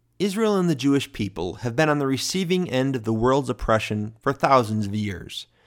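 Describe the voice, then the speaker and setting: Using an ordinary speaking voice, a man talks at a moderate pace and medium pitch with lively intonation, in a very clean recording with a silent background. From Michigan, US (small village). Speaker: podcast host, ministry representative. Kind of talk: scripted narration of personal testimony.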